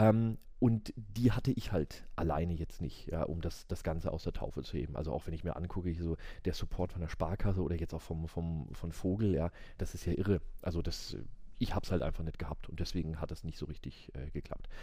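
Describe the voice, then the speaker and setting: A man's very deep, low voice, dark and mellow in tone, somewhat breathy, at a fairly quick pace. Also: ordinary pitch variation. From Würzburg, Franconia, Germany. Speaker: business lawyer. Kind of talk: casual interview chat. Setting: law office, late at night.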